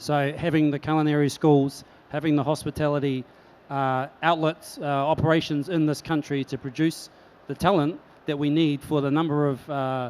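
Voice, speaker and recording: A man with a New Zealand accent talks at a moderate pace. His fairly high voice has a monotone, flat intonation. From New Zealand, Christchurch. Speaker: chef, hospitality executive. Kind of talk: panel discussion.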